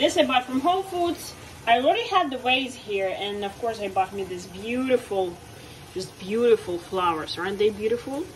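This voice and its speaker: Light background noise is present. Over it, a woman talks at a moderate pace. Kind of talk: casual vlog chat. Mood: cheerful, relaxed. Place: kitchen. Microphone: phone near.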